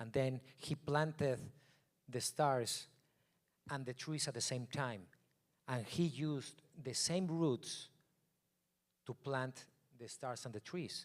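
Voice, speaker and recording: A man with a non-native accent speaks at a very slow pace, with long, frequent pauses. His pitch is medium. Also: ordinary pitch variation. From Mexico. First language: Spanish. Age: 40s. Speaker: photographer. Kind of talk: keynote talk.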